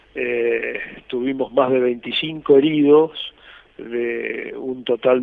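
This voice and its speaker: The voice belongs to a man with a medium pitch. His intonation stays flat and monotone. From Argentina, Corrientes. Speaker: retired army officer, war veteran. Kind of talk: interview testimony.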